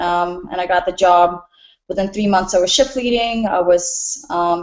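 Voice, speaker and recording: Speaking at a fairly slow pace, a woman with a slight Russian accent uses a medium pitch and ordinary pitch variation. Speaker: restaurant bartender and nutritionist. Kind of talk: personal introduction in group call.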